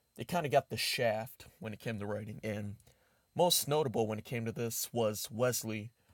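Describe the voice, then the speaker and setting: A man is heard in a very clean recording with a silent background. The sound is dry and close, with no echo. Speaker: YouTube reviewer. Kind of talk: casual video review. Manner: halting, filler-heavy.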